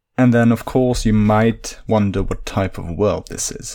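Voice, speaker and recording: At a moderate pace, a man speaks in a fairly low voice with a Dutch accent. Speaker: podcast host, linguist and fantasy worldbuilder. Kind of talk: solo storytelling monologue.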